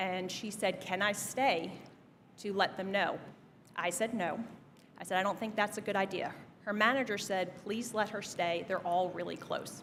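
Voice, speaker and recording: The speaker has an American accent and fairly even intonation. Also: woman, medium pitch for a woman, moderate pace. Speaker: commencement speaker, business executive. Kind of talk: commencement speech. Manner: direct.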